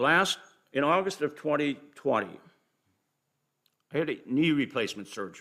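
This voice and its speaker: At a moderate pace, a man with a fairly high pitch and a bright, sharp tone uses lively intonation, broken by long, frequent pauses. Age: 70s. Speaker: community volunteer presenting to council. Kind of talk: formal presentation at council meeting. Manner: halting with restarts.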